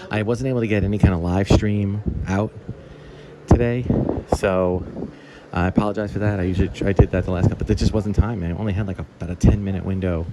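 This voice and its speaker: There is noticeable background noise in this clip. Over it, a man speaks very fast. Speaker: toy collector video host. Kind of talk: casual vlog.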